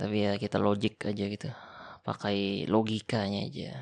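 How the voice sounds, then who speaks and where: A man with a fairly low pitch and a gentle tone speaks at a very slow pace. The background is quiet. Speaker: ASMR roleplay creator playing an older brother. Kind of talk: casual advice talk about success and consistency. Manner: soft-spoken, gentle, intimate.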